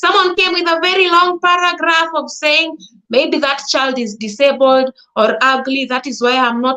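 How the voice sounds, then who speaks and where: A woman speaks in a raised, projected voice with a Kenyan accent and a high pitch. Her intonation is lively and her pace moderate. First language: Swahili or a Kenyan language. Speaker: content creator. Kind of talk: live talk to audience. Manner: halting.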